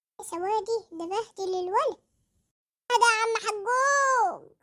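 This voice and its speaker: A squeaky, cartoonish character voice at an extremely high pitch and a fairly slow pace. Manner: exasperated, scolding.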